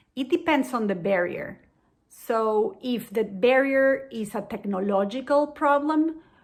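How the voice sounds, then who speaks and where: On a very clean recording with a silent background, a woman with a Spanish accent speaks at a fairly slow pace in a high pitch with lively intonation. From Venezuela. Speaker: diabetes education program manager. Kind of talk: educational explainer.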